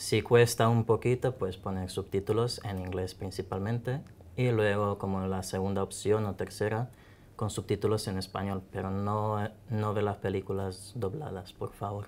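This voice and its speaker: This man speaks at a fairly low pitch and a moderate pace. His intonation stays fairly even. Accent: Croatian. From Croatia. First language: Croatian (speaking Spanish). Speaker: language teacher. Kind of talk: online class interview.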